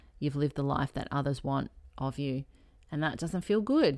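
The speaker has an Australian accent, and the recording is very clean with a silent background. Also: woman. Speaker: health and healing coach. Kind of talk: casual solo podcast chat.

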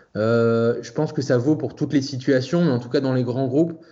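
A man talks at a moderate pace and a medium pitch with fairly even intonation. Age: 40s. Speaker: freelance UX designer and design teacher. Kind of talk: interview. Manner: hesitant, many fillers.

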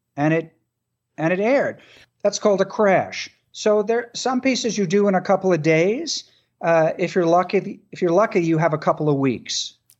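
Moderate pace and ordinary pitch movement from a high-pitched male speaker. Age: 60s. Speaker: television and radio producer. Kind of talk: interview. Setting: remote from home.

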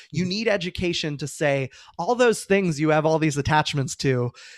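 An unremarkable speaking voice with ordinary pitch variation comes through dry and close with no echo, on a very clean recording with a silent background. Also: man. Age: 30s. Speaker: author. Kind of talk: interview.

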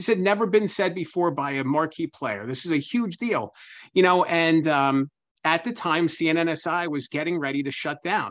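Speaking in an ordinary speaking voice, a man with a fairly high pitch and lively intonation keeps a moderate pace against a quiet background. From Pennsylvania. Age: 30s. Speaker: author and journalist. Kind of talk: interview.

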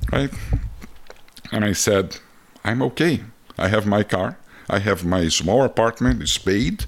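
A man with a fairly low pitch speaks at a fairly slow pace, with long, frequent pauses. His intonation is lively while his loudness stays very even. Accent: Brazilian. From Brazil (Rio de Janeiro). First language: Portuguese. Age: 50s. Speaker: photographer and traveler. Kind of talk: casual interview conversation. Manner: animated storyteller, laughs often.

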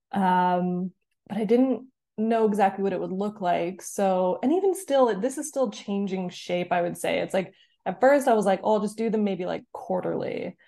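A woman with a Canadian accent speaks at a medium pitch in a dark, mellow tone with ordinary pitch variation. The background is quiet. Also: moderate pace. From Canada. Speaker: writer and author. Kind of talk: casual interview chat.

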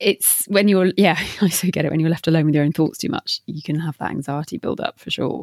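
A woman with an unremarkable speaking voice talks at a fairly quick pace and a fairly low pitch, with ordinary pitch variation, recorded dry and close with no echo. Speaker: podcast host. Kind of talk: interview questions, casual professional chat.

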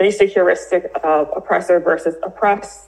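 A woman with an American accent speaks at a moderate pace in a medium pitch. Hers is an ordinary speaking voice with fairly even intonation. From US South, New Orleans. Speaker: writer and diversity training founder. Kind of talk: interview.

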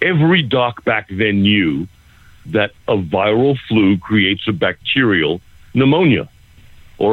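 This man has a normal speaking voice, fairly low in pitch, with lively intonation. He talks at a fairly slow pace, and his loudness stays very even. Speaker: naturopath. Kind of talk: radio interview.

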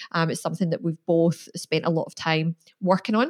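A woman speaks in a plain, everyday voice at a fairly low pitch, with fairly even intonation and a fairly quick pace, in a dry, close sound with no echo. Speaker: podcast host. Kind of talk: casual interview.

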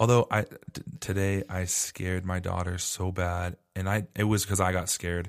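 On a very clean recording with a silent background and a dry, close sound with no echo, a man with an American accent and a very deep, low pitch speaks with monotone, flat intonation and hardly any pauses. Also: moderate pace. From Arizona. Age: 20s. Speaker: podcast host. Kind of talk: casual chat.

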